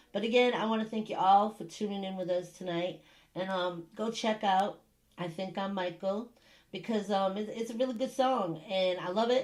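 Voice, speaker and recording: Using a put-on character voice, a woman sounds raspy at medium pitch and a moderate pace. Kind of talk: casual, addressing an audience.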